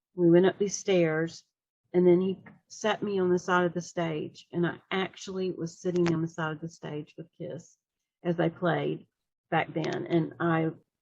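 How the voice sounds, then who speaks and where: A woman speaks with a Southern US accent at a fairly low pitch. Her intonation is monotone and flat. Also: moderate pace. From US South. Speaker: fan, writer of fiction. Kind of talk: casual interview.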